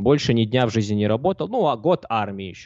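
Fairly low in pitch, a man delivers his words at a very fast pace. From southern Russia, Mozdok. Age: 20s. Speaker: poker coach and streamer. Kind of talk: casual interview. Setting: live stream.

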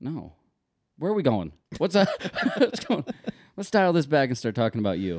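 An animated voice with vocal fry and very wide pitch swings, at a moderate pace broken by long, frequent pauses. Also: man, fairly high pitch for a man. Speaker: podcast co-host. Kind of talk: casual chat.

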